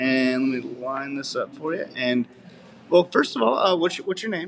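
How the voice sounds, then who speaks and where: A man with an American accent speaks at a moderate pace and a fairly high pitch, with ordinary pitch variation. His loudness swings widely over noticeable background noise. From Missouri. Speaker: news reporter. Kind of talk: interview.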